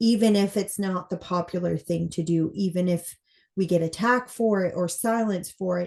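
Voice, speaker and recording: A woman speaks at a medium pitch. The background is quiet. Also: fairly even intonation, moderate pace. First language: not English. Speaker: former police officer. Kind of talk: casual interview conversation.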